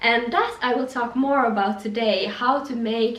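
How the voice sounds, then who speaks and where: With a Swedish accent, a woman speaks at a fairly slow pace in a fairly high voice with fairly even intonation, against noticeable background noise. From Finland, Swedish-speaking. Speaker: fashion youtuber. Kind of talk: styling tutorial vlog. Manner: casual, some false starts.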